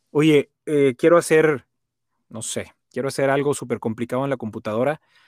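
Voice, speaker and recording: A man with a plain, everyday voice talks at a moderate pace, his fairly high pitch showing ordinary pitch variation. The very clean recording has a silent background and a dry, close sound with no echo. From Monterrey, Nuevo León, northern Mexico. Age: 40s. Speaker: voice-over announcer and sales trainer. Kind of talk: casual interview chat.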